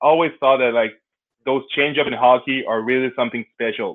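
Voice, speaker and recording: A man's medium-pitched voice holds fairly even intonation at a moderate pace. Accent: Quebec. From Quebec City, Canada. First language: French. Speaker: sport founder, former pro basketball player. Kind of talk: interview.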